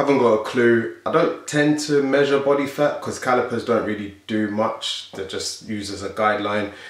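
With hardly any pauses, a man in a South London accent speaks amid audible room echo. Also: ordinary pitch variation, moderate pace. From South London, England. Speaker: fitness youtuber and bodybuilder; fitness youtuber. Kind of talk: casual Q&A vlog. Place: home room.

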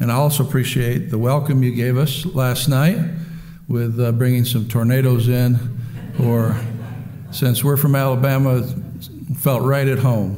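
Pausing long and often, a man speaks at a moderate pace and medium pitch with fairly even intonation. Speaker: Baptist preacher and pastor. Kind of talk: sermon. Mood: warm, humorous opening. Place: church. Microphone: podium.

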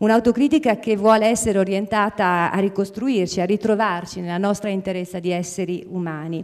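Against a quiet background, a woman talks at a fairly quick pace with ordinary pitch variation and hardly any pauses. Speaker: nonprofit scientific director. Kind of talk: formal presentation. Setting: theatre stage with audience. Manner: hesitant, frequent fillers. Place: stage. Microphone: handheld.

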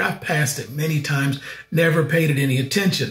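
A man's fairly high-pitched, ordinary speaking voice at a moderate pace. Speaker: travel show host. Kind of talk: travel vlog narration. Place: office. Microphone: webcam.

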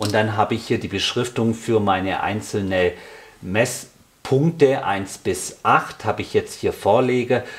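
A man speaking at a fairly slow pace, with ordinary pitch variation

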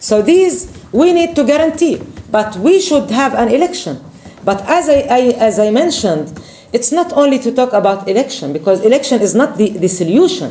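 With an Arabic accent, a woman talks at a moderate pace in a high pitch. Her pitch swings very widely. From Palestine. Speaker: politician. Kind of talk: speech. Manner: halting. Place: meeting room. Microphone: camera far.

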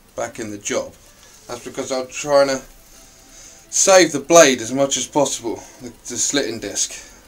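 Over faint background music, a man talks at a moderate pace, his pitch varying in an ordinary way. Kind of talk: casual DIY commentary. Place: workshop. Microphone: phone near.

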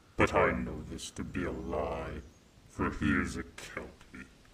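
Very slowly, a man speaks with vocal fry. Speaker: ASMR roleplay performer. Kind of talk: roleplay ASMR, bedtime-story style, dragon character addressing listener as mortal. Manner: slow, soft, possessive and seductive, menacing yet tender, with teasing laughs; formal, archaic and haughty dragon persona.

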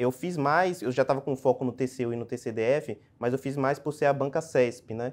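A man at a moderate pace, with fairly even intonation and hardly any pauses. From Brazil, Salvador (Bahia). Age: 30s. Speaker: public auditor, exam passer; candidate. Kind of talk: interview. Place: meeting room. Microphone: lapel.

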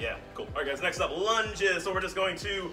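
Clear music plays in the background. Over it, a man speaks with a high pitch. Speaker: fitness coach. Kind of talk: workout instruction. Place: gym. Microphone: camera far.

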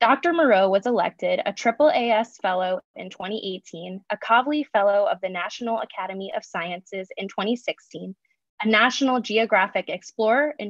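With lively intonation, a woman talks at a moderate pace in a dry sound with no echo against a quiet background. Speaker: science program manager. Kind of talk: speaker introduction. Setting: video call. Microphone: video call.

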